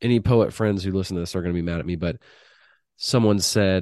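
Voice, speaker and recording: Against a quiet background, a man speaks with a very deep, low pitch. His tone is dark and mellow, with ordinary pitch variation. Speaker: podcast host and crime writer. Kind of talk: interview conversation.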